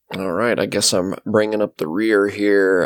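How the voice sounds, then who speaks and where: A man's plain, everyday voice, fairly low in pitch, with fairly even intonation at a moderate pace in a very clean recording with a silent background. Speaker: podcast co-host. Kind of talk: casual chat.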